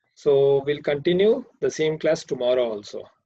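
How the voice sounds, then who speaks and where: In a Karnataka accent, a man talks at a moderate pace with a dark, mellow tone. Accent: Indian English, Kannada. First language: Kannada. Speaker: programming teacher. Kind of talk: online class lecture. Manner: hesitant, many fillers.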